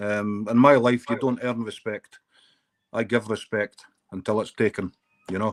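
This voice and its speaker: With a Scottish accent, a man talks at a moderate pace in a fairly low pitch, his intonation flat and monotone, broken by long, frequent pauses, and the sound is dry and close with no echo. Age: 50s. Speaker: live streamer. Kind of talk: casual chat.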